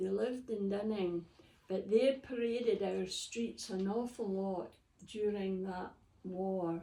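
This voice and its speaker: With a Scottish accent, a woman speaks at a medium pitch with ordinary pitch variation and a dark, mellow tone at a very slow pace. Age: 80s+. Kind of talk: interview answer.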